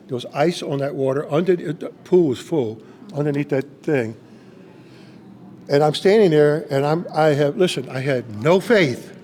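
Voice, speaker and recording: A man with a fairly high pitch speaks at a moderate pace with ordinary pitch variation, against noticeable background noise. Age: 70s. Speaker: pastor. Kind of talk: testimony. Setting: on location interview. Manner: animated storytelling.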